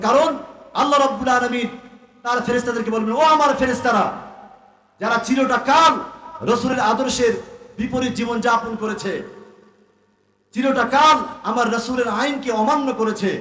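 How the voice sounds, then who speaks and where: A man's raised, projected voice at an extremely high pitch with fairly even intonation. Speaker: Islamic preacher. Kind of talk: religious sermon at a public gathering.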